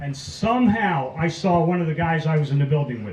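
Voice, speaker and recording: A man with an American accent talks at a fairly quick pace, his pitch fairly high and his intonation lively. Noticeable background noise runs beneath him. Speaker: war veteran. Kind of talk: testimony.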